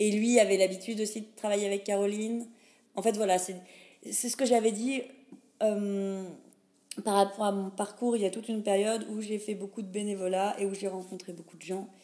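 A woman's dark, mellow voice at medium pitch and a moderate pace, flat and monotone, with big swings in loudness and long, frequent pauses. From France, Lorraine (Pont-à-Mousson). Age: 30s. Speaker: cultural mediator. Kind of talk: casual interview. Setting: coworking space.

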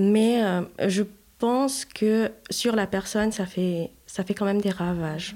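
A woman's medium-pitched voice, dark and mellow in tone, at a very slow pace. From Haiti. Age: 30s. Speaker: mother of four. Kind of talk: casual chat.

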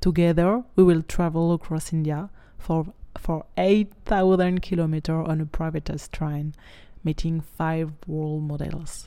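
A woman speaks in a normal speaking voice, fairly low in pitch, at a fairly slow pace with fairly even intonation. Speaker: podcast host and coach. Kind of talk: scripted intro and outro.

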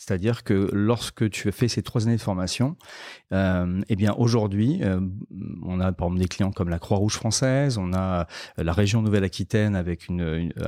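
A man speaks at a moderate pace in a fairly low pitch with a dark, mellow tone and ordinary pitch variation. The recording is very clean with a silent background and a dry, close sound with no echo. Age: 40s. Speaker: health tech entrepreneur. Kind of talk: interview. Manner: halting, many fillers and repetitions.

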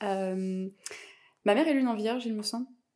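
This woman has an unremarkable speaking voice at medium pitch, with ordinary pitch variation. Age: 30s. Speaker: podcast guest, mother. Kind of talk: casual interview chat.

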